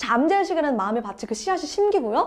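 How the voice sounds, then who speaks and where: Her tone is animated, and this woman's pitch swings very widely. Noticeable background noise runs behind her. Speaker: book review channel host. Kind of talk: book summary talk. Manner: fast.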